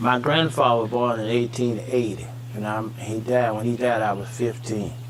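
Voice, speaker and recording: A man with a Southern US accent speaks fairly slowly at medium pitch, with noticeable background noise and audible room echo. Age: 70s. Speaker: elder farmer interviewee. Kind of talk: oral history interview.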